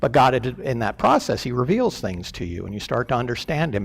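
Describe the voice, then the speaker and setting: Against a silent background in a very clean recording, a man speaks at a moderate pace with lively intonation. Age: 60s. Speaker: church elder. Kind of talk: sermon. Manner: halting, many fillers.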